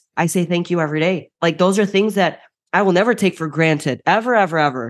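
Against a quiet background, a woman with a Chicago accent talks at a fairly quick pace and a medium pitch. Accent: Chicago American. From US Midwest, Chicago. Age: 20s. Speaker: bodybuilding champion and coach. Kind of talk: casual interview chat.

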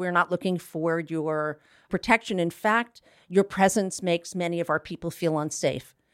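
In a normal speaking voice, a woman talks at a moderate pace with fairly low pitch and ordinary pitch variation, the sound dry and close with no echo. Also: very clean recording, silent background. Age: 60s. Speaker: LGBT health advocate. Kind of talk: interview. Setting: studio.

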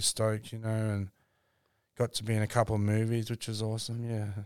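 Captured in a very clean recording with a silent background, a man with an Australian accent speaks at a medium pitch and a moderate pace. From Brisbane, Australia. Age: 30s. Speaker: comedian. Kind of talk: casual chat.

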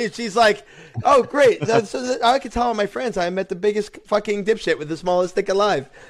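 A man with high pitch, lively intonation and moderate pace, amid noticeable background noise. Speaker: podcast co-host. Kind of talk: casual chat. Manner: animated.

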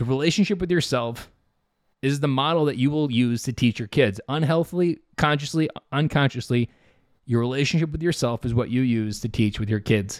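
Talking at a fairly quick pace, a man uses a medium pitch with ordinary pitch variation. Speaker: fatherhood podcast host and coach. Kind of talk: solo motivational monologue. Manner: blunt, direct.

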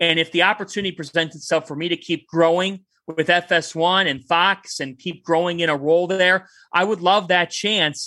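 In a very clean recording with a silent background, a man with a Cleveland accent speaks at a moderate pace and a high pitch, his tone passionate, energetic, bright and sharp. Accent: Cleveland, Ohio. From Westlake, Ohio (Cleveland). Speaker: sports broadcaster and sideline reporter. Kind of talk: interview, passionate sports talk. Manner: passionate, energetic, animated.

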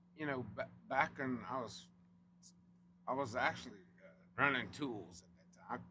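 In a Louisiana accent, the voice has a bright, sharp tone and ordinary pitch variation. It moves at a moderate pace. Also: man. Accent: Cajun Louisiana. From South Louisiana (Cajun). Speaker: oilfield company representative. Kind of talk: casual chat.

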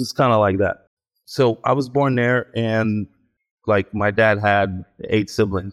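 In an American accent and an unremarkable speaking voice, the speaker goes at a fairly slow pace with fairly even intonation and very even loudness, on a dry, close recording with no echo, very clean and with a silent background. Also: man, fairly low pitch for a man. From Israel (Ashdod), later US. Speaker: actor. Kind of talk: interview.

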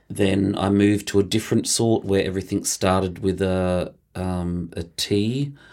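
With an Australian accent, the speaker moves at a moderate pace with fairly even intonation and hardly any pauses on a very clean recording with a silent background. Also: man, fairly low pitch for a man. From regional Victoria, Australia (Mildura). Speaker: choreographer and dancer. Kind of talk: interview.

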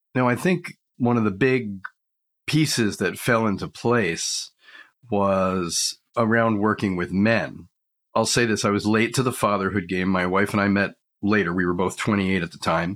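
With an ordinary speaking voice, a man talks at a moderate pace in a fairly low pitch, showing ordinary pitch variation and very even loudness on a very clean recording with a silent background. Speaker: men's coach. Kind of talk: interview conversation.

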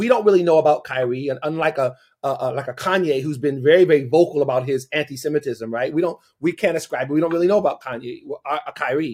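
A man using a normal speaking voice, pitched fairly high, with ordinary pitch variation. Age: 50s. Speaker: pastor and advocacy organization founder. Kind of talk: interview.

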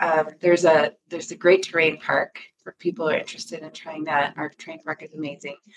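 A fairly quick, monotone delivery with flat intonation and an American accent. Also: woman. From Michigan. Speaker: timeshare marketing executive. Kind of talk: interview.

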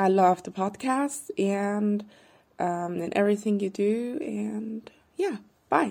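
A woman with a German accent speaks very slowly at a medium pitch, her intonation lively. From Austria, Vienna. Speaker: podcast listener. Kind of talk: recorded voice memo question. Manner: halting.

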